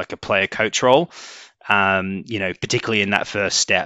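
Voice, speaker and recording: A man with a British accent speaks at a moderate pace and fairly low pitch, with a bright, sharp tone. His intonation is fairly even, and the sound is dry and close with no echo against a quiet background. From UK. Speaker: sales executive. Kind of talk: interview. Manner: hesitant, many fillers.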